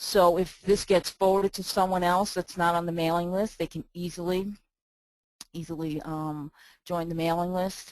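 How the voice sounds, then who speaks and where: In a New York accent, the speaker keeps a moderate pace with monotone, flat intonation. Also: woman, fairly low pitch for a woman. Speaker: email marketing consultant. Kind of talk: software walk-through.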